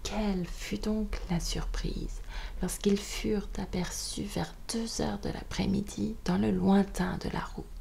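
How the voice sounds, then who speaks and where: Noticeable background noise fills the clip. Over it, a woman talks at a very slow pace. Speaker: audiobook reader. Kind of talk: bedtime audiobook reading. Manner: whispered.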